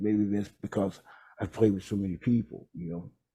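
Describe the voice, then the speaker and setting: This man has an American accent and a fairly low, somewhat breathy voice. His tone is dark and mellow, with fairly even intonation. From Texas, Houston. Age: 60s. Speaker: jazz trombonist and bandleader. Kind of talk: interview. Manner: halting.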